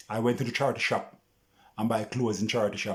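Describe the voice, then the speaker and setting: In a Jamaican accent, the speaker races along at a very fast clip with an animated tone. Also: man. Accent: Jamaican patois-inflected English. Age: 60s. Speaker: vlogger. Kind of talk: casual monologue vlog rant.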